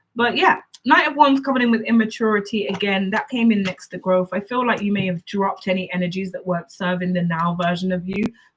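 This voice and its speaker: Somewhat breathy and medium in pitch, a woman speaks very fast with hardly any pauses and ordinary pitch variation. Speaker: psychic tarot reader. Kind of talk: tarot reading. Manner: stumbling over words.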